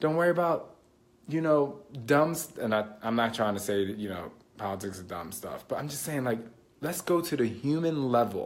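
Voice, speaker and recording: Here a man speaks in an animated tone at a moderate pace. His fairly high voice swings very widely in pitch. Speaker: fitness and mindset coach. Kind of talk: casual live stream talk. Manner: loud.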